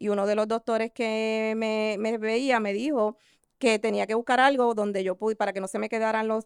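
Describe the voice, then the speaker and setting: A woman's fairly high voice at a fairly quick pace, with fairly even intonation, in a very clean recording with a silent background and a dry, close sound free of echo. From Puerto Rico, San Juan metro area. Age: 50s. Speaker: esthetician and insurance agent. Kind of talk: interview. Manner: halting.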